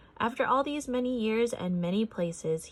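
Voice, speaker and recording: This woman uses a put-on character voice with a gentle tone. Her pitch is fairly high, and she moves at a moderate pace. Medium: read story. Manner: gentle, earnest.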